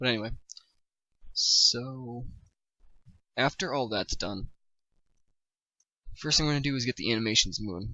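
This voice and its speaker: This man talks at a fairly quick pace, his medium-pitched voice keeping a fairly even intonation. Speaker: game development tutorial maker. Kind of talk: tutorial. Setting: livestream. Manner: fast; halting, many repetitions and fillers.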